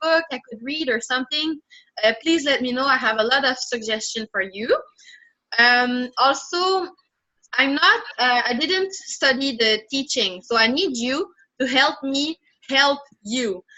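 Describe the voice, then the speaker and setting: With a French accent, a woman talks at a moderate pace in a high voice with lively intonation. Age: 20s. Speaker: language tutor. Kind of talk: online language lesson. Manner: halting.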